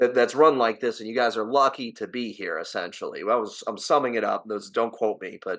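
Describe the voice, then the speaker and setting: Here a man speaks with a New Jersey accent. His pitch is medium. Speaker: sports podcast host. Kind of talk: casual chat. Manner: animated.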